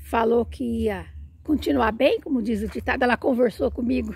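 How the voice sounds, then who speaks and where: With long, frequent pauses, a woman speaks at a moderate pace in a dry recording with no echo. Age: 60s. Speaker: plant vlogger. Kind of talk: casual video tutorial. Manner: animated. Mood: warm, enthusiastic. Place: garden. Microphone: phone near.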